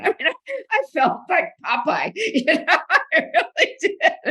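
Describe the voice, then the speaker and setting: Her voice is raised and projected, and the woman's tone comes across bright and sharp. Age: 80s+. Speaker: author and researcher. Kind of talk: interview. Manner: animated.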